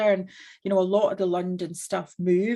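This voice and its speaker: A woman speaks with a strong Scottish accent. Her intonation stays fairly even at a moderate pace. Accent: Scottish, still strong. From Scotland. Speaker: business owner, entrepreneur. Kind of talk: panel discussion.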